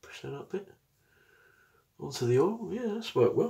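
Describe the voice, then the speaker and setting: A man speaks at a moderate pace. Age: 40s. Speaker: product reviewer. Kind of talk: casual tutorial chat. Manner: casual, chatty. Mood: pleased, relaxed. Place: bathroom. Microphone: phone near.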